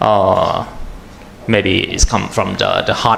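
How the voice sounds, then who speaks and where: Against noticeable background noise, a man with a Thai accent speaks with lively intonation. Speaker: atmospheric chemist, researcher. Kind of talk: panel presentation. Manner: halting, many fillers.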